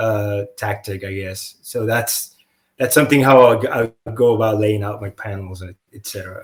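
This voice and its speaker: A man with a non-native accent and a somewhat breathy, fairly low voice talks at a moderate pace with fairly even intonation, his loudness swinging widely. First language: not English. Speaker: comic book artist. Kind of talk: casual interview chat. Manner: halting, many fillers and restarts.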